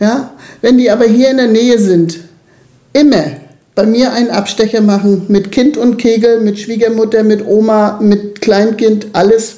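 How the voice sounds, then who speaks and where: In a room with audible echo, a dark, mellow voice moves at a fairly slow pace with fairly even intonation and very even loudness. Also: woman, fairly high pitch for a woman. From eastern Germany, Lusatia region. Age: 60s. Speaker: youth club worker, former nursery teacher. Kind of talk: interview.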